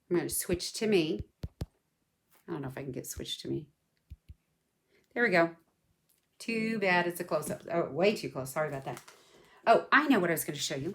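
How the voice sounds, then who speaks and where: A woman's fairly low voice with lively intonation and big swings in loudness, at a fairly quick pace broken by long, frequent pauses. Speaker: craft product seller and video host. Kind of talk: casual unboxing livestream.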